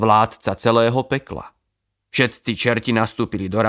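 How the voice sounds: Against a quiet background comes a natural reading voice with fairly even intonation.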